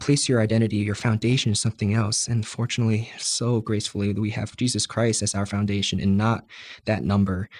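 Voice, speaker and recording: A man with an American accent talks at a fairly quick pace in an ordinary speaking voice, pitched fairly low. His intonation is fairly even, and the recording is very clean with a silent background. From New Jersey, USA. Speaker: Air Force cadet. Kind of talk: interview answer.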